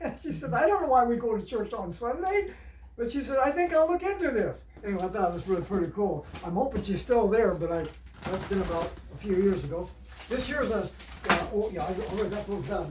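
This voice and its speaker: Very fast, high-pitched male speech with lively intonation, noticeable background noise and audible room echo. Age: 70s. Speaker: storyteller. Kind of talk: storytelling. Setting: home. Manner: halting.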